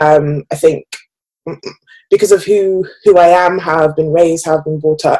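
The voice is fairly low for a woman. She is the one speaking. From England, Birmingham. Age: 20s. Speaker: advertising professional. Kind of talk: interview.

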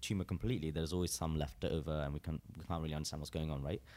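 A man talks with vocal fry. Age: 20s. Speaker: musician. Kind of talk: interview.

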